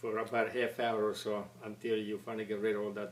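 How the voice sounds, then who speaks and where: A man with an Italian accent speaks at a moderate pace. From Italy. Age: 70s. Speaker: retired factory worker. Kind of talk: oral history interview. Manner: halting, many repetitions and stammers.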